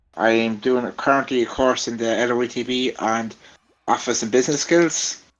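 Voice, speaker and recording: A man speaks in a strong Irish Midlands accent at a medium pitch. He keeps a moderate pace and fairly even intonation. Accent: strong Laois. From Ireland, County Laois. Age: 20s. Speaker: vlogger and content creator. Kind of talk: casual interview chat. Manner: halting, many fillers.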